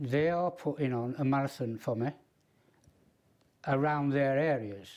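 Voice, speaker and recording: A man's dark, mellow, medium-pitched voice with a Yorkshire accent and fairly even intonation. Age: 70s. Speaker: ultra runner. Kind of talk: interview answer.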